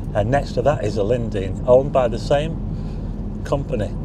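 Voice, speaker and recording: Recorded dry with no echo, a man speaks against noticeable background noise. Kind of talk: casual driving commentary. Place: car. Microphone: phone near.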